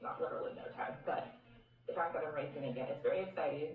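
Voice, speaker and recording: The voice is quiet. Noticeable background noise can be heard. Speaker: running vlogger. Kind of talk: vlog narration. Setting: outdoors at race.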